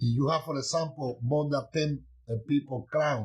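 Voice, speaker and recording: A man's voice comes across as somewhat breathy. His pitch is fairly high. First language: not English. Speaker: Santeria priest teaching online. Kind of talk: livestream teaching. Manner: halting.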